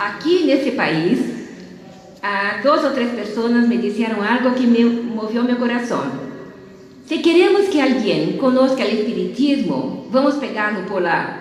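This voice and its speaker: A woman with a Portuguese accent speaks at a fairly slow pace in a high voice with lively intonation, with noticeable background noise and audible room echo. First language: Portuguese (speaking Spanish). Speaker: spiritist lecturer. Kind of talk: conference lecture. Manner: halting.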